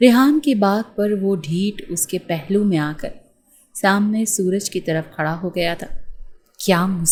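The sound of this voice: Lively intonation in an unforced reading voice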